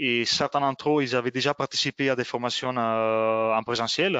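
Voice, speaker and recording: The man speaks at a medium pitch. His intonation stays fairly even. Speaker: software trainer. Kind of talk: webinar presentation. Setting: online webinar. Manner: halting, many fillers.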